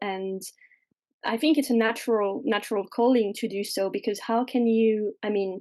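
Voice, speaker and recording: Over a quiet background, a woman with a fairly high voice and a dark, mellow tone speaks at a fairly slow pace with fairly even intonation. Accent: French. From France, mountains. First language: French. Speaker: witch and fairy doctor. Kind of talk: podcast interview.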